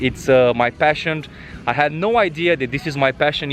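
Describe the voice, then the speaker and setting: With a Romanian accent, a man talks at a fairly quick pace in a fairly high pitch with ordinary pitch variation, music playing in the background. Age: 30s. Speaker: travel vlogger. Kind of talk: vlog monologue. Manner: halting, many fillers.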